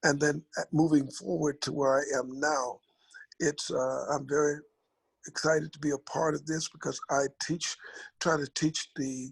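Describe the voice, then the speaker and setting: This man has a fairly high pitch, an American accent and a somewhat breathy voice, speaking at a fairly slow pace. His intonation is flat and monotone, and the sound is dry and close with no echo. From US South, Mississippi Gulf Coast. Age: 70s. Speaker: pastor, military veteran, panelist. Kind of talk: panel discussion on video call. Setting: video call.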